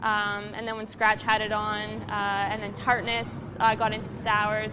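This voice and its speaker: A woman with a fairly high pitch. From Canada. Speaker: brewery staff, show host. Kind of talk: casual chat. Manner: hesitant, many fillers.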